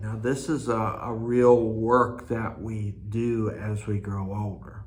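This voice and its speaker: A man's relaxed, fairly low voice at a very slow pace, in monotone, flat intonation, with audible room echo. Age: 60s. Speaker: cross stitch video host. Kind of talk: casual monologue. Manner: relaxed, with frequent fillers.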